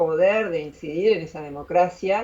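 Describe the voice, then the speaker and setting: At a fairly slow pace, a woman with a fairly low pitch speaks in a plain, everyday voice. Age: 60s. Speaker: philosopher and YouTuber. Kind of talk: interview.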